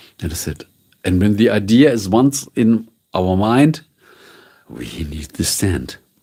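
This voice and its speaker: In a dark, mellow tone, a man speaks very slowly at a fairly low pitch, swinging very widely in pitch. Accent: German. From northern Germany. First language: German. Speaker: streamer and voiceover artist. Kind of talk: casual live stream chat. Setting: live stream. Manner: relaxed.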